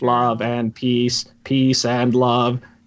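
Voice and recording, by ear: A man puts on a robotic character voice. It sits at medium pitch with monotone, flat intonation.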